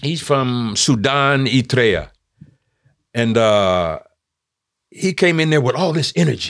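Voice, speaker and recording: A man with a Californian accent, medium pitch, lively intonation, a very slow pace and long, frequent pauses, in a quiet background. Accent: Californian American English. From Oakland, California, US West Coast. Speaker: theatre maker; podcast guest or co-host. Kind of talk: casual chat. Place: studio. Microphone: studio mic.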